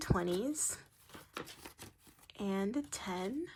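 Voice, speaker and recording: A woman talks with ordinary pitch variation. The recording is very clean with a silent background. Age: 18. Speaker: budgeting video creator. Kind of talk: casual vlog tutorial. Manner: many fillers, halting.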